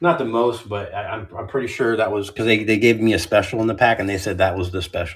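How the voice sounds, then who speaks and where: With an American accent, a man talks at a fairly quick pace in a fairly low, somewhat breathy voice. His pitch variation is ordinary. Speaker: card seller streamer. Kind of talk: live stream card sale. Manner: casual, chatty.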